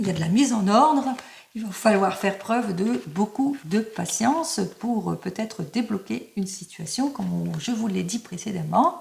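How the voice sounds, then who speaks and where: A woman talks at a moderate pace in a medium pitch, her pitch swinging very widely. Noticeable background noise is present. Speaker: tarot card reader. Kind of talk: tarot reading video.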